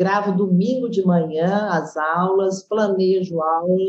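A woman speaks at a medium pitch in a dark, mellow, somewhat breathy tone. Her intonation stays fairly even. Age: 50s. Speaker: gym owner and physical educator. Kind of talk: interview.

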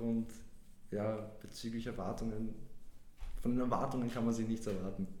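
The voice belongs to a man. Audible room echo can be heard. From Vienna, Austria. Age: 20s. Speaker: podcast guest. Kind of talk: casual chat. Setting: studio.

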